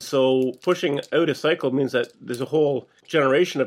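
A man speaks in a plain, everyday voice at a fairly high pitch. His pace is fairly quick and his intonation fairly even. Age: middle-aged. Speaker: podcast co-host. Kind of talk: casual chat.

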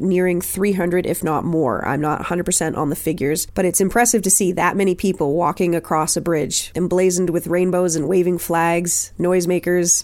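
With a Canadian accent, a woman speaks at a fairly quick pace in a fairly low pitch, using an unremarkable speaking voice. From Nova Scotia, Canada. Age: 30s. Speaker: podcast host and drag king. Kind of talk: solo podcast monologue.

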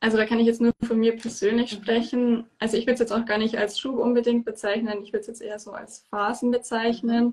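A woman's fairly high voice at a very fast pace with hardly any pauses, monotone, flat intonation and big swings in loudness. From southern Germany, Bavaria (near Munich). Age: 20s. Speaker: endometriosis patient and holistic health coach. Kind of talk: interview. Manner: hesitant, many fillers.

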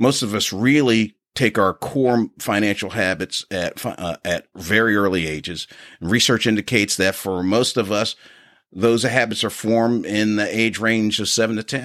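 In a plain, everyday voice with an American accent, a man with a fairly low pitch speaks at a moderate pace with fairly even intonation, in a dry, close sound with no echo. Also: very clean recording, silent background. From Philadelphia, Pennsylvania. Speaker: podcast co-host, finance executive. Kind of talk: casual podcast intro, partly scripted.

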